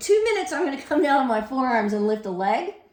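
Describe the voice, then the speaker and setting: A woman speaks in a high pitch. Audible room echo and noticeable background noise fill the recording. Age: 60s. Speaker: fitness instructor. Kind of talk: tutorial. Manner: casual.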